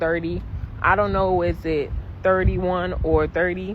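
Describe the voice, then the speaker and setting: A woman at a fairly slow pace, over noticeable background noise. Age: 20s. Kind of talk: casual faith testimony to camera.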